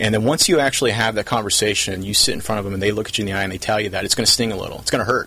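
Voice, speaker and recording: Over noticeable background noise, a man with an American accent talks very fast with fairly even intonation. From Southern California, South Orange County. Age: 30s. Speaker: company CEO. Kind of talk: interview.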